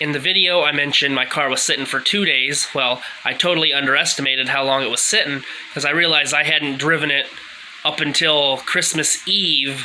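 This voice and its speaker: Noticeable background noise surrounds a man whose fairly high-pitched voice keeps fairly even intonation. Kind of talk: casual talk to camera. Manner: halting, stuttering.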